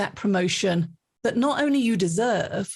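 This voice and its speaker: A woman at a medium pitch with ordinary pitch variation, a somewhat breathy voice and a moderate pace. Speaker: leadership author and keynote speaker. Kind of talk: interview conversation. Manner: talkative, long answers.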